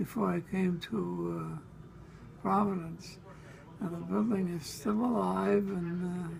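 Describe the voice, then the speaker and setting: A man with an American accent at a fairly slow pace, with long, frequent pauses and noticeable background noise. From Brooklyn, New York. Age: 80s+. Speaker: former radio writer. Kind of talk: interview answer. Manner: hesitant.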